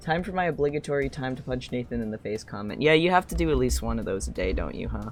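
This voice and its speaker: Over music in the background, a man talks at a very fast pace. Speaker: game streamer. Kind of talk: casual let's play commentary. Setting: live stream.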